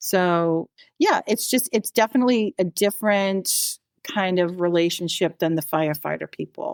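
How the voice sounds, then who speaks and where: A woman with a normal speaking voice and an American accent talks at a moderate pace with lively intonation and medium pitch, in a dry, close sound with no echo on a very clean recording with a silent background. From Massachusetts (Natick). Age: 60s. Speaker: nurse, firefighter's wife. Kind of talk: casual interview.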